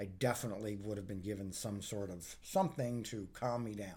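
In an American accent, a man speaks at a moderate pace with a fairly low, somewhat breathy voice and ordinary pitch variation. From Northern Virginia, US. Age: 50s. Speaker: outdoors professional. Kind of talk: casual interview.

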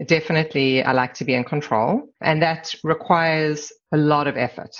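With a South African accent, a woman speaks at a very deep, low pitch with ordinary pitch variation against a quiet background. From South Africa, Durban; moved to Canada at 17. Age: 50s. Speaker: corporate immigration lawyer. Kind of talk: casual interview.

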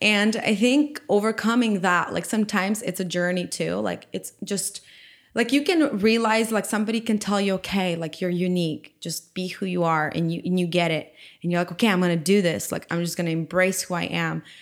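A woman with a Ukrainian accent speaks at a fairly quick pace in a medium pitch with ordinary pitch variation. The recording is very clean with a silent background. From Ukraine. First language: Ukrainian or Russian. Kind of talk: testimony and casual interview chat.

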